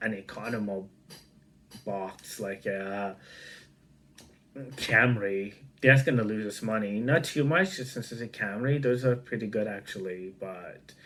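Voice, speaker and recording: Speaking at a fairly slow pace with a non-native accent, this voice shows big swings in loudness and long, frequent pauses. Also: man, fairly low pitch for a man, ordinary pitch variation. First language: not English. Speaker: online commentator. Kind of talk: casual news reaction commentary. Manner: halting, many fillers.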